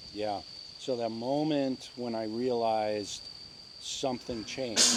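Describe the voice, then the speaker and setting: The intonation stays fairly even, with audible room echo around the voice. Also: man, medium pitch for a man, fairly slow pace. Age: 60s. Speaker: meditation teacher. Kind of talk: interview. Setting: outdoors in the jungle. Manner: halting, with many fillers.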